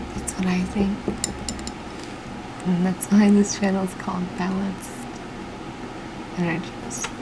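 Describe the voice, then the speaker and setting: Whispering and soft-spoken, a woman talks at a fairly slow pace with long, frequent pauses over noticeable background noise. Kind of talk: ASMR whispered ramble, casual personal talk. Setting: home recording with fan noise in low light. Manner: soft-spoken, whispered.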